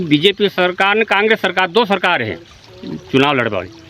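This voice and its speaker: A man speaks at a high pitch with lively intonation over noticeable background noise. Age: 60s. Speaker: villager. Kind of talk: street interview.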